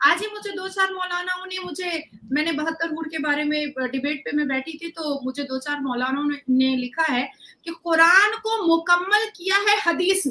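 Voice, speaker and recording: A woman speaks in an extremely high, bright, sharp voice with ordinary pitch variation. She projects loudly and hardly pauses. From India. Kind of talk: debate argument. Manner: animated.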